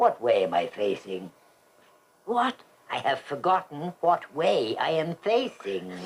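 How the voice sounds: In a put-on character voice, a man speaks slowly at a fairly high pitch, with big pitch swings, vocal fry and a slightly husky edge.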